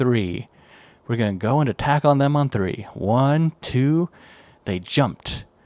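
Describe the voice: Simple reading out loud.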